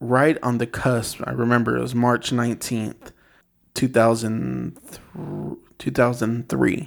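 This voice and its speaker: A man's plain, everyday voice at medium pitch, with an American accent, fairly even intonation and a moderate pace, in a very clean recording with a silent background. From Inland Empire, Southern California. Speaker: rideshare driver. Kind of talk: casual chat.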